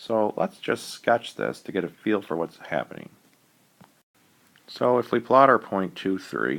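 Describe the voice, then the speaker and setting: Long, frequent pauses break up this fairly slow delivery, which has vocal fry and very wide pitch swings. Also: man, fairly low pitch for a man. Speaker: math teacher. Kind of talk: tutorial.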